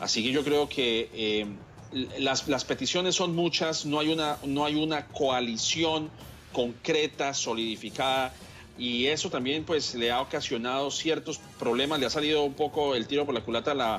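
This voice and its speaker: A man's fairly high voice at a fairly slow pace, with ordinary pitch variation, very even loudness, and music in the background. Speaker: political analyst. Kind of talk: TV news interview answer, formal commentary. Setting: TV news program.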